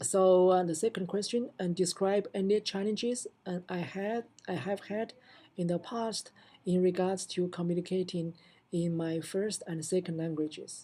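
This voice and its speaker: A woman with a non-native accent, a dark, mellow tone and medium pitch, at a moderate pace with fairly even intonation. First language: not English. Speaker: assistant professor of computer science. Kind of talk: recorded self-introduction answering prompts. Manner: halting, many fillers and restarts.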